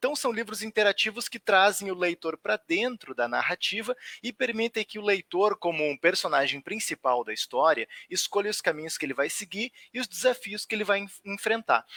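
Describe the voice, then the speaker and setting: A man's raised, projected voice at a high pitch, bright and sharp in tone, with lively intonation at a moderate pace, in a dry, close sound with no echo. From southern Brazil, Rio Grande do Sul (Porto Alegre area). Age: 30s. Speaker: writer. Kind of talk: online talk. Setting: livestream.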